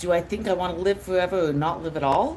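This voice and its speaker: A woman with a very deep, low pitch at a very fast pace, with noticeable background noise. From United States. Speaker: streamer. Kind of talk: live stream Q&A chat. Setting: live stream at laptop. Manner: expressive.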